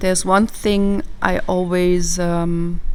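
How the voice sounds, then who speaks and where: The voice has a calm tone and monotone, flat intonation, with audible room echo around it. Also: woman. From southern Germany. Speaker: psychologist. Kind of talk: casual chat.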